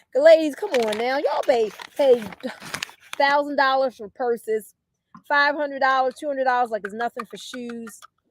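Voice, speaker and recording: With an animated tone and a high pitch, a woman talks with long, frequent pauses and big swings in loudness, in a dry, close sound with no echo. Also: ordinary pitch variation. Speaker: wellness product seller. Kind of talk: sales pitch. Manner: fast.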